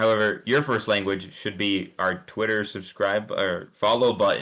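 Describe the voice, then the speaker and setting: Speaking at a moderate pace, a man with a fairly low voice and a bright, sharp tone shows ordinary pitch variation. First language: not English. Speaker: esports caster. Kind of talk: live commentary. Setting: live stream. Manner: animated.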